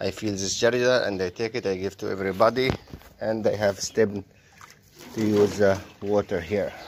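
Over light background noise, a man with an Egyptian accent speaks in a monotone, flat intonation. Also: fairly low pitch for a man, moderate pace. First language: Arabic. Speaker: vlogger and animal keeper; vlogger. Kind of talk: casual vlog narration. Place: farm. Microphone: phone near.

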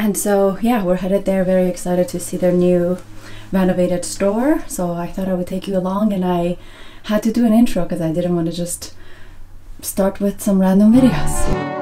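The speaker is a woman using a moderate pace. Her intonation stays fairly even. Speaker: lifestyle vlogger. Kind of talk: casual vlog chat. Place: home room. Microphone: phone near.

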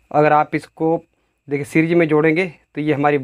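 A man speaking at a moderate pace. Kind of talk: tutorial. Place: workshop.

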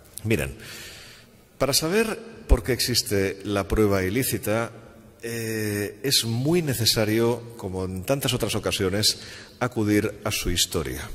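At a fairly slow pace, a man with an unremarkable speaking voice talks at a fairly low pitch with ordinary pitch variation. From Spain. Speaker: law professor. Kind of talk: lecture. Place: hall. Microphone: podium.

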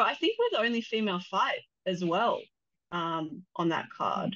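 A woman talks at a moderate pace in a fairly bright tone.

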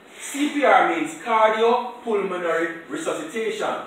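Amid strong room echo and light background noise, a man speaks at a very slow pace. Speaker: first aid instructor. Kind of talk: classroom lecture. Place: classroom. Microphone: camera far.

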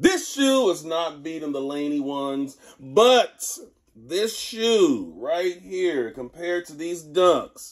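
Against a quiet background, a man with an American accent speaks at a very slow pace in a high pitch. His loudness swings widely. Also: lively intonation. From Texas. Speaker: sneaker content creator. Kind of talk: casual video review. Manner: laid-back, conversational. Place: home room. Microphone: phone near.

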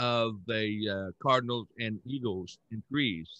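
A man's fairly low, fairly bright voice with ordinary pitch variation, in a dry, close sound with no echo

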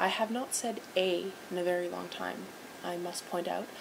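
A woman speaks with a Canadian accent over noticeable background noise. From Vancouver, Canada. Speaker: vlogger entering a contest. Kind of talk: video dating entry, casual self-introduction. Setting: recording to a camera, video. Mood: playful, slightly awkward. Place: home room. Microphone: webcam.

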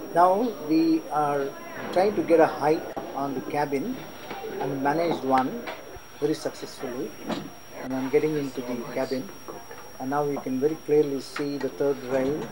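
A moderate pace with long, frequent pauses over noticeable background noise. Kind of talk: travel commentary. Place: train. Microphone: old recording.

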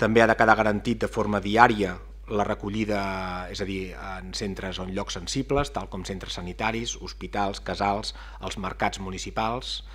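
A man speaks at a moderate pace. His loudness swings a lot. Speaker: municipal official. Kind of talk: press briefing. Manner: halting. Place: hall. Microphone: podium.

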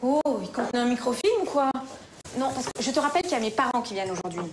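Over noticeable background noise, a woman talks at a very fast pace in a high pitch with lively intonation. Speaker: actress. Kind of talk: TV drama scene. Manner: exasperated. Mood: irritated, slightly sarcastic. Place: kitchen.

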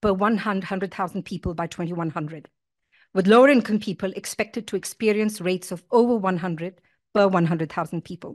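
A woman talks with ordinary pitch variation and a moderate pace, the background quiet. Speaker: academic keynote speaker; keynote speaker. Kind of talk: lecture. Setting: stage with audience. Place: hall. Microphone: podium.

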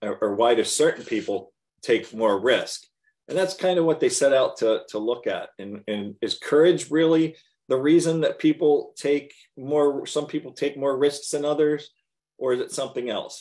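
The speech moves at a moderate pace with a quiet background. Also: man. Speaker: business coach. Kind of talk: live group discussion. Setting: group video call. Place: home room. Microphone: video call.

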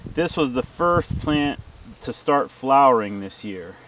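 Lively intonation from a man at a fairly slow pace, dry sound with no echo, light background noise. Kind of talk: tutorial. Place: garden. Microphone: camera far.

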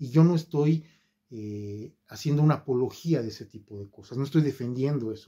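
A man speaks at a moderate pace in a medium pitch, his tone dark and mellow with ordinary pitch variation. His loudness swings widely against a quiet background. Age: 50s. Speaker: YouTuber. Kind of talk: video monologue; casual vlog chat. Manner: hesitant fillers. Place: home room. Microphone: phone near.

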